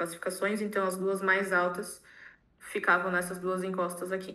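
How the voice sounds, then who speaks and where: A woman talks at medium pitch in a monotone, flat intonation. Audible room echo surrounds her voice. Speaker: architect. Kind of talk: conference presentation. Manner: fast; halting, self-correcting.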